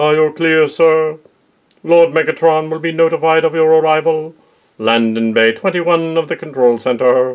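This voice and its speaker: Someone uses a put-on character voice, speaking at a moderate pace. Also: man, fairly high pitch for a man. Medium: audio drama. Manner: cold, clipped, commanding.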